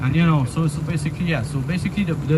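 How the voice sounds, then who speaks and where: A man's fairly high pitch amid noticeable background noise. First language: French. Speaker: parent activist. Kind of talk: public protest speech. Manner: halting, many fillers and repetitions.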